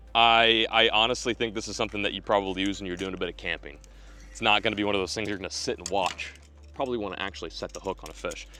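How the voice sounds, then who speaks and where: Talking at a very fast pace, a man has a bright, sharp tone at fairly low pitch. Vocal fry runs through his voice. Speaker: fishing video host. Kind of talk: casual outdoor product-testing vlog. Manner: animated.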